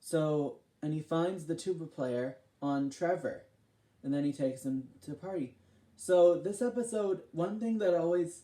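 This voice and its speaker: Using a high pitch and a dark, mellow tone, a man talks at a moderate pace with ordinary pitch variation. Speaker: video host. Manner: casual, rambling.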